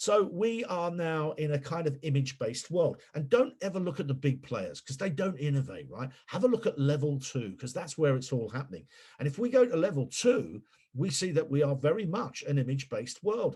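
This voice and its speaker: A man with a fairly high, somewhat breathy voice talks at a fairly quick pace. His pitch swings very widely. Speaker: PR consultant and webinar speaker. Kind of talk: webinar presentation. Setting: webinar. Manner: animated.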